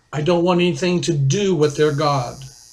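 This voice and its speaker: Audible room echo surrounds a man who speaks fairly quickly, his fairly high pitch held in fairly even intonation. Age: 60s. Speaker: author and video blogger. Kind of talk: personal testimony monologue.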